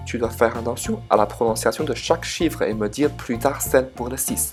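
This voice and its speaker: Music plays in the background of this clip. A man with a Chinese accent talks at a moderate pace. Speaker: Chinese language teacher YouTuber. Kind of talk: casual educational talk to camera.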